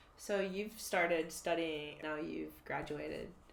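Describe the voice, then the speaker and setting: Heard with audible room echo, a woman with an American accent and a very deep, low pitch speaks at a fairly slow pace with fairly even intonation. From United States. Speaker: podcast host. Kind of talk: casual interview chat.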